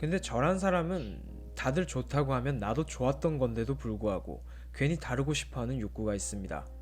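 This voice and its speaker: A man talks fairly quickly. Background music plays behind him. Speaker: book YouTuber. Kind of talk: sleep-aid book-review talk reading a poem and commenting on it. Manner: soft-spoken, calm, relaxed.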